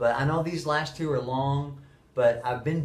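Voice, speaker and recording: A man's voice is heard with audible room echo. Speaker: middle school teacher. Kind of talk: monologue to camera. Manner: fast.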